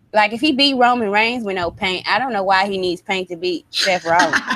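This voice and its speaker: A woman talks with a Southern US accent at a medium pitch, her pitch varying in an ordinary way. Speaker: wrestling podcast co-host. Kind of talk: casual chat.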